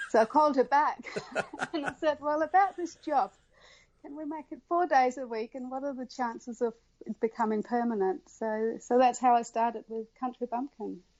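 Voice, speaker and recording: A high-pitched woman at a moderate pace, with ordinary pitch variation and big swings in loudness. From Denmark. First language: Danish. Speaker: embroidery designer. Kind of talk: interview. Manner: halting.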